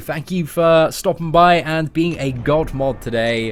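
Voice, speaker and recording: A man's fairly high voice with an English accent, ordinary pitch variation, and music in the background. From England. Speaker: streamer reading chat. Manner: casual, friendly.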